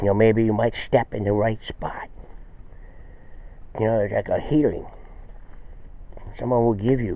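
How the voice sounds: A moderate pace in a man's dark, mellow tone.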